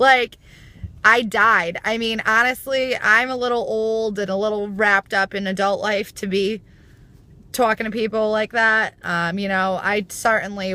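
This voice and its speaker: A woman with a New York accent speaks at a fairly slow pace, her intonation fairly even and her tone bright and sharp. The recording is very clean against a silent background. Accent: US Northeast accent, near New York. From US Northeast. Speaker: YouTube commentator. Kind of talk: casual vlog rant. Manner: casual, filler-heavy.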